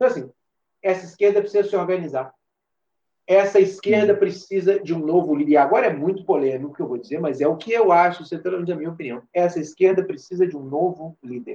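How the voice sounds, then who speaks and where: A man's high-pitched voice, dark and mellow in tone, with ordinary pitch variation at a very fast pace. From Minas Gerais, Brazil. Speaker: musician and actor. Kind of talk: casual conversation.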